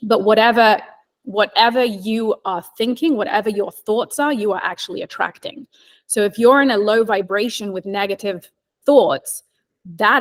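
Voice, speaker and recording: A woman with a slight English accent speaks at a moderate pace with a fairly high pitch and ordinary pitch variation. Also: dry, close sound with no echo. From England (London). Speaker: real estate agent. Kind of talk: casual chat.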